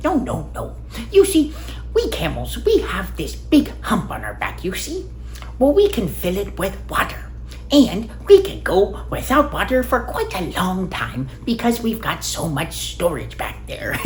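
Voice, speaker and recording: The speaker uses a put-on character voice at a moderate pace. Background noise is clearly heard. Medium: solo performance.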